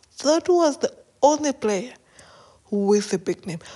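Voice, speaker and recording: A woman's dark, mellow tone with very wide pitch swings. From South Africa. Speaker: podcast host and football commentator. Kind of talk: solo sports podcast commentary.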